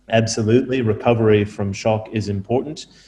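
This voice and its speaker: A man with an American accent speaks in a fairly low, somewhat breathy voice with a dark, mellow tone and monotone, flat intonation. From US, Boston area. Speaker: workshop facilitator. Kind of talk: webinar presentation. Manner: hesitant, many fillers (um, uh).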